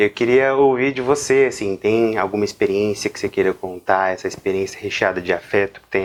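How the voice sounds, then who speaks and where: Here a man talks at a fairly quick pace with ordinary pitch variation. He has an unremarkable speaking voice, pitched fairly low. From Brazil, interior of São Paulo state. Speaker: psychologist, interviewer. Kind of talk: interview conversation.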